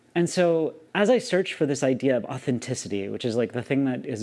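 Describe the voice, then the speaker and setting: With an American accent, a man speaks at a moderate pace and medium pitch with ordinary pitch variation, on a very clean recording with a silent background. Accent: slight Southern accent, largely masked. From US South. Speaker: YouTuber. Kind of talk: personal vlog monologue. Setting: alone talking to camera. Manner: animated.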